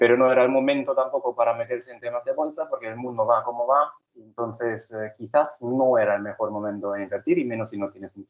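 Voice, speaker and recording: A man speaking at a very fast pace, medium-pitched, with fairly even intonation and a German accent. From Germany. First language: German (speaking Spanish). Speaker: conference speaker on software certifications. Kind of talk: conference presentation. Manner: halting, with fillers and repetitions.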